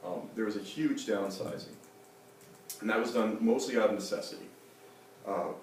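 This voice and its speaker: A man at medium pitch and moderate pace with ordinary pitch variation and long, frequent pauses, amid noticeable background noise and audible room echo. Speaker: nonprofit craft gallery director. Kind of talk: conference panel talk. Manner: mumbling, voice lowers; hesitant, many fillers.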